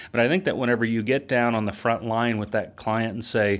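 The recording is very clean, with a silent background. It is an unremarkable speaking voice at a fairly quick pace. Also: man. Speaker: marketing company founder and CEO. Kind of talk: casual interview chat.

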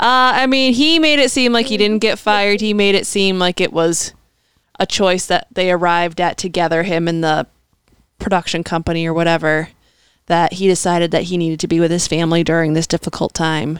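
A woman with a normal speaking voice, fairly low in pitch, at a fairly quick pace and very even loudness. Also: ordinary pitch variation, very clean recording, silent background. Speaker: podcast co-host. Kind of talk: casual chat.

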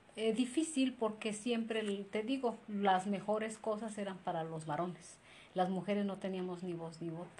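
A central Mexican accent at a moderate pace with ordinary pitch variation, plus audible room echo and noticeable background noise. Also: woman, medium pitch for a woman. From Mexico, Izúcar de Matamoros, Puebla. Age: 40s. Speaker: interviewee. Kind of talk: interview.

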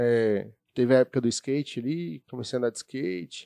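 In a plain, everyday voice, a man speaks at medium pitch and a moderate pace with lively intonation, the sound dry and close with no echo. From Brazil, São Bernardo do Campo, São Paulo. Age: 30s. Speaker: youtuber. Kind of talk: casual chat.

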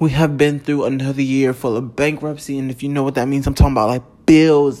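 Over noticeable background noise, an animated voice talks at a very fast pace. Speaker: podcast host. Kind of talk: casual monologue.

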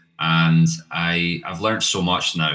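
A man talks with a Scottish accent. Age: 30s. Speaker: marketing agency founder. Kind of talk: interview.

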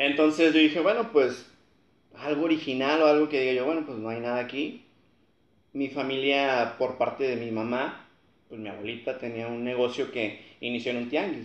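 This man has an ordinary speaking voice at medium pitch. He keeps a moderate pace with ordinary pitch variation. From Matamoros, Tamaulipas, Mexico. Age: 20s. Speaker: engineering graduate, family food business. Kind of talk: casual interview chat.

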